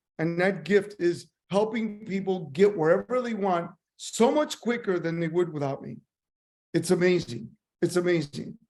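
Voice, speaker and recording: Lively intonation in a man's high voice. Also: moderate pace. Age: 60s. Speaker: motivational speaker and business mentor. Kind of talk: motivational talk. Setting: video call. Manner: repetitive, emphatic.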